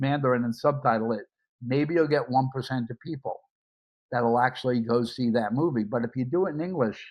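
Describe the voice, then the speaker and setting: A man with a New York accent talks at a fairly quick pace, his medium pitch showing ordinary variation. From US Northeast, Brooklyn, New York. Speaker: media entrepreneur. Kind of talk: interview conversation.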